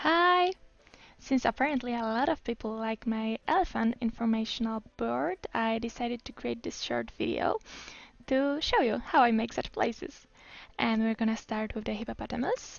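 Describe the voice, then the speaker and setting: A woman speaks at a moderate pace with a fairly high pitch. She has a non-native accent and ordinary pitch variation. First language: not English. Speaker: game tutorial creator. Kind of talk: tutorial. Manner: casual, with fillers and hesitations.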